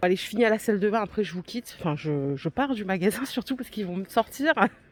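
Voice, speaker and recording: This woman has an ordinary speaking voice with a fairly high pitch. Her intonation is lively. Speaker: shopping vlogger. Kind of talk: in-store product haul video. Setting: inside a discount store. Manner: casual, with frequent fillers.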